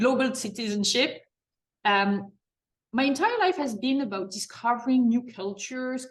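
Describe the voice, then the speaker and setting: Her voice is somewhat breathy. The woman talks at a moderate pace with ordinary pitch variation. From France. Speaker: marketing executive and mentorship program leader. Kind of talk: interview. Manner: hesitant, many fillers.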